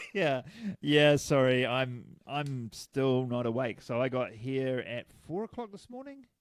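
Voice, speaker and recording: Speaking at a fairly slow pace in a New Zealand accent, a man keeps a medium pitch with ordinary pitch variation and hardly any pauses. His loudness swings widely. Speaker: podcast co-host. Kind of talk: casual chat.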